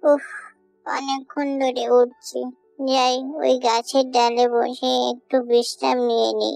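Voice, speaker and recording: A female-sounding cartoonish character voice speaks at a fairly slow pace and fairly high pitch, with faint music in the background. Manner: boastful, self-important.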